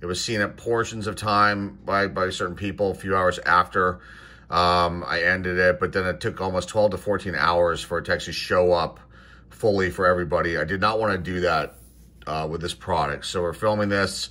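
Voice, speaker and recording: This man speaks with an American accent in a very deep, low pitch. His tone is bright and sharp, and his pace is moderate. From Pittsburgh, US. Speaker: sports card collector YouTuber. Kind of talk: card box opening video. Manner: enthusiastic, animated; frequent fillers and hesitations. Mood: relaxed, mildly enthusiastic. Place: home room. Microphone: phone near.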